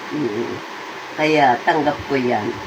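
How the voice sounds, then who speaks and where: Very slow and very deep, low in pitch, a woman speaks over noticeable background noise. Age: 80s+. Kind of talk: casual talk to camera.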